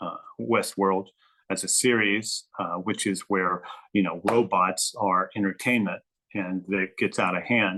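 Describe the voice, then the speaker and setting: This man has a fairly low pitch and a bright, sharp tone. His intonation stays fairly even at a moderate pace. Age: 60s. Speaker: writer. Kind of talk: interview. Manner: halting.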